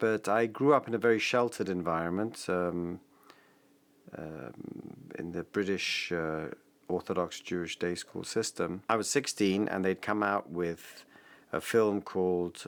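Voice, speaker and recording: With an English accent, a man speaks at a fairly slow pace in a very deep, low pitch with ordinary pitch variation and long, frequent pauses, on a very clean recording with a silent background. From England. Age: 50s. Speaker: father, interviewee. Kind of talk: personal testimony.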